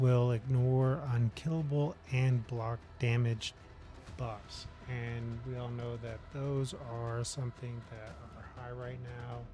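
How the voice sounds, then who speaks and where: Music plays in the background as a man speaks at a very slow pace. His pitch sits in the medium range. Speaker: gaming streamer. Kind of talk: live game stream commentary. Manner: hesitant, many fillers. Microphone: audio adjustment issues.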